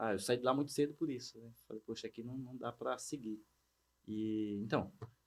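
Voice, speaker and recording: An unremarkable speaking voice at a moderate pace, with fairly even intonation and big swings in loudness. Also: man, medium pitch for a man. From Bahia sertão, Brazilian Northeast. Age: 30s. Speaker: agritech entrepreneur. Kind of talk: casual interview.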